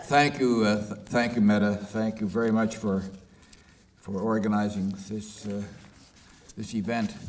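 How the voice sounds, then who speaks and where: Flat and monotone, a man's fairly low voice moves at a fairly slow pace with long, frequent pauses and audible room echo. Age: 80s+. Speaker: author and peace activist. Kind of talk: book launch talk.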